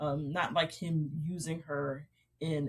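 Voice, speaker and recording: A woman with a very deep, low pitch speaks in a somewhat breathy voice. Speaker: romance author. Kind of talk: interview chat. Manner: fast; animated.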